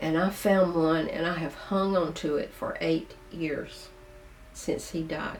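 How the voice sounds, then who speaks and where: Music plays in the background as a woman talks at a very slow pace, with audible room echo. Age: 70s. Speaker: video blogger. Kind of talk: casual monologue to camera.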